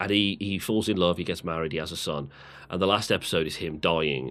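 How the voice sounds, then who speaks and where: In a very clean recording with a silent background, a man with a British accent speaks at a fairly quick pace in an animated tone. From UK. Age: 30s. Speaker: podcast co-host. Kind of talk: casual chat. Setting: live stream podcast.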